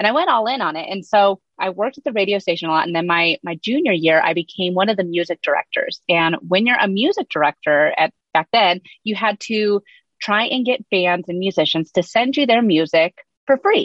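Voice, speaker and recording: A woman talks at a fairly quick pace and medium pitch. She has a normal speaking voice. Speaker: social media strategist. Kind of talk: casual interview chat.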